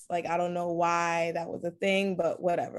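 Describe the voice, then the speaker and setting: Here is a woman with an unremarkable speaking voice at a medium pitch. She speaks with an American accent at a fairly quick pace. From US Northeast, Brooklyn, New York. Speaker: lingerie designer. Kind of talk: interview.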